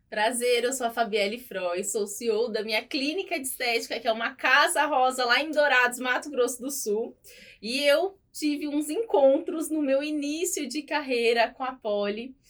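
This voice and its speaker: A woman talks at a moderate pace with a high pitch and hardly any pauses. Her pitch varies in an ordinary way. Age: 30s. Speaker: beauty clinic owner, lash designer. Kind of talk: podcast interview.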